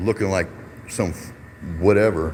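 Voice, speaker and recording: Noticeable background noise sits behind a man's voice. He speaks at a fairly quick pace and a fairly low pitch. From Detroit, US Midwest. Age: 50s. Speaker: YouTube livestreamer, activist. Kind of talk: casual live-stream talk. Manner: animated, heated ranting.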